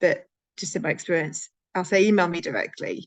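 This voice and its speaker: A woman talks at a medium pitch. The background is quiet. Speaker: conference speaker on workplace inclusion. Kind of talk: Q&A session answers. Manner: fast; halting, many fillers.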